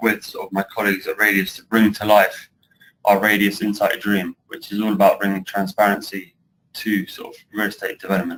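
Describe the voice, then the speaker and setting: A man talks in a British accent at a fairly quick pace. His loudness swings widely. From UK. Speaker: construction project director. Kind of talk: webinar presentation.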